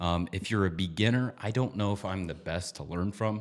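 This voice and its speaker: On a very clean recording with a silent background, a man has an ordinary speaking voice, fairly low in pitch, with ordinary pitch variation. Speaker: trading educator. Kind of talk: tutorial.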